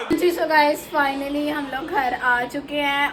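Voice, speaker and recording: A woman speaks fairly slowly with fairly even intonation, with audible room echo and noticeable background noise. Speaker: family vlogger. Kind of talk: vlog commentary. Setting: restaurant.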